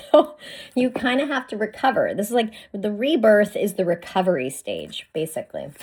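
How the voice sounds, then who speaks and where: The speaker uses an animated tone with very wide pitch swings at a moderate pace. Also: woman, fairly high pitch for a woman. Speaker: spiritual card reader. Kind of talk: oracle card reading.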